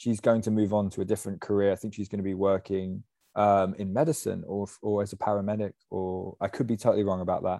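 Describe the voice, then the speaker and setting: Against a quiet background, a man with an English accent talks at a very fast pace in a fairly low pitch with a dark, mellow tone. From England. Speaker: podcast host. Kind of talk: casual chat.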